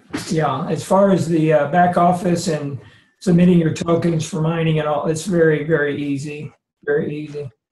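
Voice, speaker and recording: A man talks at a fairly high pitch and a moderate pace, his intonation monotone and flat. Audible echo fills the room. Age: 70s. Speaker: network marketing participant. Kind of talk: testimony. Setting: video call.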